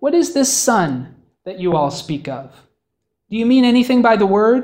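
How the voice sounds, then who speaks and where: Someone does a put-on character voice at a fairly high pitch, moving at a moderate pace with very wide pitch swings. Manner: soft, cooing, gentle.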